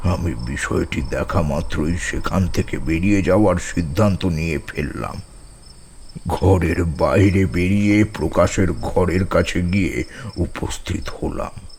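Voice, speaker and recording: Over clear background noise, a man uses a put-on character voice with very deep, low pitch at a fairly slow pace. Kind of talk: horror narration. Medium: audio drama. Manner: tense, suspenseful.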